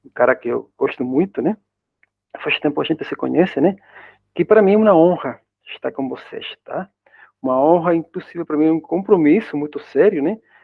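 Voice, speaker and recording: Pitched high for a man, this voice moves at a moderate pace with ordinary pitch variation. He leaves long, frequent pauses. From Spain. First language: Spanish (speaking Portuguese). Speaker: university professor. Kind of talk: lecture. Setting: video call. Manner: halting.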